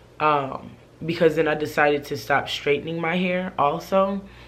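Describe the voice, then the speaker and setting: A woman's fairly slow, fairly even speech with audible room echo. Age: 20s. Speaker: vlogger. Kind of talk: casual vlog monologue. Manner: hesitant, many fillers.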